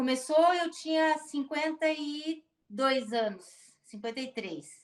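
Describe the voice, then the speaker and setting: A woman speaks at a very slow pace in a high pitch. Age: 60s. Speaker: retired dentist with Parkinson's. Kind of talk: interview testimony. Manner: halting, many repetitions and fillers.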